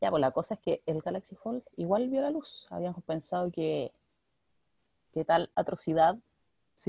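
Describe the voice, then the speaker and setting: A woman's dark, mellow voice at a fairly low pitch and fairly slow pace, dry and close with no echo. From Chile, Valparaíso region (Villa Alemana). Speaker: podcast co-host. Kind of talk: casual chat. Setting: video call.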